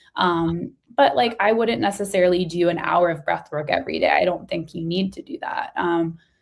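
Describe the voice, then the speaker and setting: Pitched fairly low, a woman speaks at a moderate pace with lively intonation and hardly any pauses. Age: 30s. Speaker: breathwork coach and business founder. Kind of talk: interview. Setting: video call.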